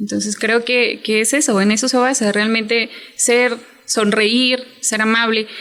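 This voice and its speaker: The speech moves at a fairly slow pace in a monotone, flat intonation with very even loudness. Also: woman, fairly high pitch for a woman. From Mexico, Chiapas. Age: 20s. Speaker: hotel worker and small business owner. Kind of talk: interview.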